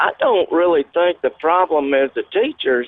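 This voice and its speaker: Someone speaks at a fairly slow pace with a Louisiana accent. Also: man. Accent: Southern US (Louisiana). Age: 50s. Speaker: caller. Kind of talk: call-in talk radio. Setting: phone call.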